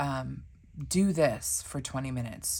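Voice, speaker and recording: A woman's very deep, low voice with vocal fry. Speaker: planner and stationery YouTuber. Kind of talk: casual tutorial vlog. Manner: halting, many fillers; low-energy.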